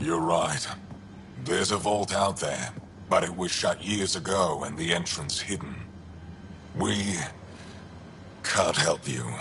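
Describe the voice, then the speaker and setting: A man uses a put-on character voice with a very deep, low pitch. He speaks at a fairly slow pace with long, frequent pauses, over clear background noise. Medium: video game. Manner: cold, curt.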